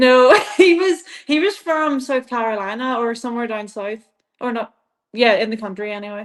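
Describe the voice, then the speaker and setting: A woman with an Irish accent, high-pitched, with lively intonation and big swings in loudness. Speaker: CrossFit athlete. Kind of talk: interview. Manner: fast when excited.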